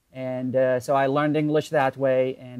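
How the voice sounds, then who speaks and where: Delivered at a moderate pace in an Arabic accent, the speech has a monotone, flat intonation. The sound is dry and close, with no echo. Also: man. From Iraq, Baghdad. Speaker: online entrepreneur. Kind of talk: interview.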